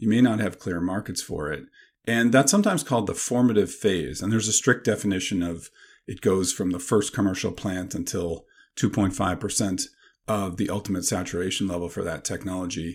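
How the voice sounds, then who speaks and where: A man with a Canadian accent talks at a fairly quick pace in a fairly low pitch. He has an ordinary speaking voice with ordinary pitch variation, on a very clean recording with a silent background. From Canada. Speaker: professor. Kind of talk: interview.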